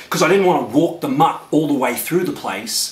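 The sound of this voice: Lively intonation comes through in an Australian accent over noticeable background noise. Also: man.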